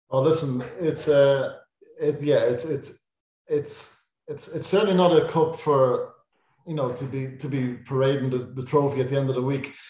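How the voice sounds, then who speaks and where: A Dublin accent at a moderate pace, with fairly even intonation. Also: man, fairly high pitch for a man. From Ireland, Dublin. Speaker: sports journalist. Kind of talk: casual chat.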